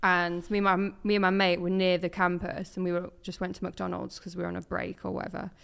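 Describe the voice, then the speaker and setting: The speech runs at a very fast pace with hardly any pauses and a monotone, flat intonation. The recording is very clean, with a silent background. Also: woman, medium pitch for a woman. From East Anglia, Suffolk. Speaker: football presenter and content creator. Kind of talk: casual chat.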